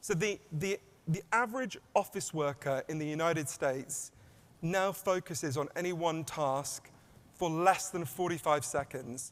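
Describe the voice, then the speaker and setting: With an English accent, a man speaks at a fairly high pitch with ordinary pitch variation. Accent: English accent, self-described as weird. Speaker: author and keynote speaker. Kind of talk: keynote talk. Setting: stage with audience. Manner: fast.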